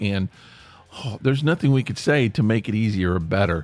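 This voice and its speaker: A man with an American accent, fairly low-pitched, with lively intonation. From US South, East Tennessee. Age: 60s. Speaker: podcast host. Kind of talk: casual monologue. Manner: halting.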